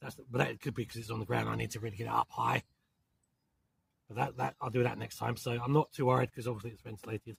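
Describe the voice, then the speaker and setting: With a London accent, a man speaks at a very fast pace and medium pitch, using vocal fry, big swings in loudness and long, frequent pauses. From southern England. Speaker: outdoor camping vlogger. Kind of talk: casual vlog talk to camera. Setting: outdoors in a forest, inside a tent.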